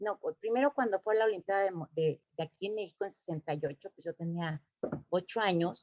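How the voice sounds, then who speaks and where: A woman's voice with very wide pitch swings is heard in a dry, close sound with no echo. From Mexico City. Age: 60s. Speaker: former Olympic gymnast. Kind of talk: interview. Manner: halting, many fillers.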